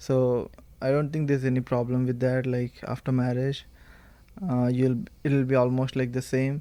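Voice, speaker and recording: Speaking in a Telugu accent, a man with a dark, mellow tone and medium pitch talks at a moderate pace with monotone, flat intonation. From India. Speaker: university student. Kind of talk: casual chat.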